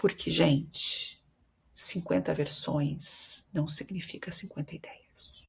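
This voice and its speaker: A woman with a Brazilian accent at a very slow pace. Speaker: marketing consultant and podcast host. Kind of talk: solo podcast monologue. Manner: conversational, addresses listeners directly.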